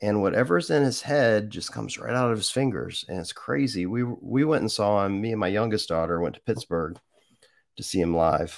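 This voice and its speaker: Talking at a fairly quick pace, a man with an American accent has an ordinary speaking voice, fairly low in pitch, with lively intonation. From US South, Mississippi. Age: 50s. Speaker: guitarist and gym owner. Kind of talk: casual chat.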